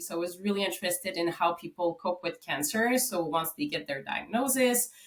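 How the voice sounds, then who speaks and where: A woman with a Quebec accent and a medium pitch speaks at a fairly quick pace with lively intonation. Background noise is noticeable. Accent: Québécois French-Canadian. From Quebec, Canada. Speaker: psychology professor and researcher. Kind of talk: podcast interview.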